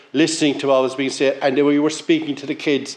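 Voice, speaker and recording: A man speaks with a Cork accent. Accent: Irish (Cork). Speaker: local councillor. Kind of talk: speech at launch event.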